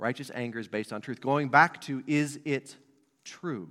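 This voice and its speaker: A man speaks at a moderate pace in a plain, everyday voice, pitched in the middle range. The recording is very clean, with a silent background. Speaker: pastor. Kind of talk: sermon. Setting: church.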